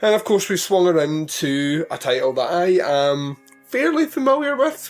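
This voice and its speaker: Over background music, a man puts on a squeaky, high character voice with very wide pitch swings at a moderate pace. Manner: high-pitched and squeaky.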